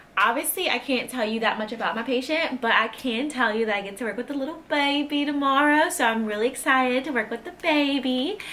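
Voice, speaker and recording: A woman with a high pitch talks at a fairly quick pace in a raised, projected voice. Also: ordinary pitch variation, hardly any pauses. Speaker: nursing student vlogger. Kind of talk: casual vlog. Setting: home video blog. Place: home room. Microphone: phone near.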